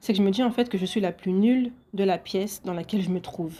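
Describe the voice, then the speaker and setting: Her dark, mellow tone sits at a medium pitch as this woman speaks at a moderate pace with ordinary pitch variation. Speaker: podcaster. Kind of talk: solo podcast monologue.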